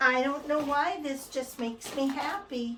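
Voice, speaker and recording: A woman with a Minnesota accent amid audible room echo. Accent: Midwestern (Minnesota). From Minnesota, US Midwest. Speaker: cross-stitch video host. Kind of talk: casual chat.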